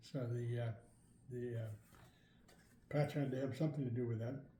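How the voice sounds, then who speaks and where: A somewhat breathy man with a dark, mellow tone, a fairly quick pace, monotone, flat intonation and audible room echo. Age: 80s+. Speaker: product user giving testimonial. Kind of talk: testimony. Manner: halting.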